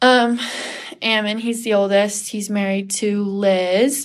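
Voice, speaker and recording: A woman of medium pitch speaks at a very slow pace with fairly even intonation. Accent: American. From Washington State. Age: young. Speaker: cosmetology student. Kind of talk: casual interview.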